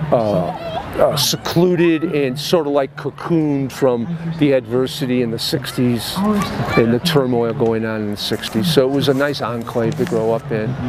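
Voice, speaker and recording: Against noticeable background noise, a man with an American accent speaks at a medium pitch and a moderate pace, with ordinary pitch variation and hardly any pauses. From Chicago, Illinois. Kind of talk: interview answer.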